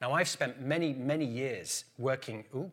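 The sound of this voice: A man talks at a moderate pace with a fairly bright tone, medium pitch and ordinary pitch variation.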